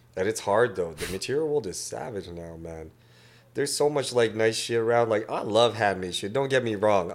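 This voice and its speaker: This man has an unremarkable speaking voice, a medium pitch, ordinary pitch variation and a moderate pace. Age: 30s. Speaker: tattoo artist. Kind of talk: casual chat.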